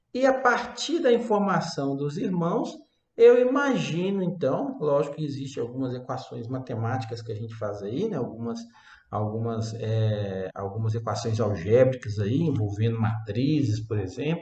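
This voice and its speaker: Here a man talks at a moderate pace and medium pitch. Audible room echo surrounds his voice. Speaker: university lecturer. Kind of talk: lecture.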